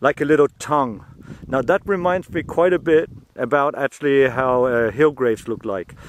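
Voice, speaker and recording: With a German accent, a man talks at a fairly quick pace with a fairly high pitch and ordinary pitch variation, in a dry, close sound with no echo. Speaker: metal detectorist. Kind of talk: casual video commentary. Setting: outdoors. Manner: halting.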